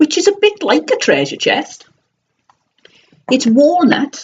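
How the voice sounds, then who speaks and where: A woman's high voice in a South Wales accent with very wide pitch swings. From South Wales valleys. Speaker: online reseller vlogger. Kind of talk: casual live stream chat. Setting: live stream on computer webcam.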